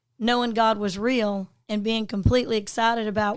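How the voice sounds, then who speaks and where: At a moderate pace, a woman with a fairly high pitch speaks in a flat monotone. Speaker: podcast host. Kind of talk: podcast interview host.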